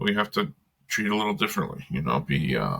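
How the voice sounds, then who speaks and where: This man talks at a fairly quick pace. He has a non-native accent. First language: not English. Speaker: father in a group discussion. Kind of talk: casual chat. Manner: halting, many fillers.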